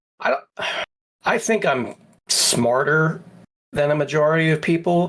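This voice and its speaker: At a fairly slow pace and very even loudness, a man with an unremarkable speaking voice talks at a fairly high pitch with ordinary pitch variation. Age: 40s. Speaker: podcast co-host. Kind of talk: casual chat.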